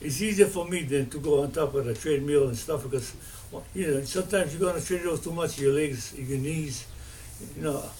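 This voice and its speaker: Audible room echo surrounds a man speaking at a fairly quick pace, his fairly high pitch showing ordinary variation. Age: 80s+. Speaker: video blogger. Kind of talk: casual monologue. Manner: rambling with many fillers.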